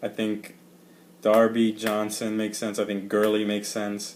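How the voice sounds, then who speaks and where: A man's fairly low-pitched voice at a fairly slow pace. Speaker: sports fan podcaster. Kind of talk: casual chat.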